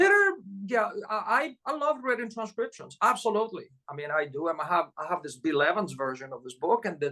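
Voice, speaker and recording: Projecting a raised voice at a fairly quick pace, the speaker shows very wide pitch swings and big swings in loudness. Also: man, high pitch for a man. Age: 60s. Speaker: jazz pianist. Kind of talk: casual interview.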